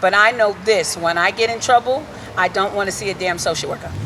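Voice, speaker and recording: Amid noticeable background noise, a woman speaks in an animated tone at a moderate pace, with a medium pitch and ordinary pitch variation. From Hartford, Connecticut inner city. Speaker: reverend and community activist. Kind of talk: rally speech. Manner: loud.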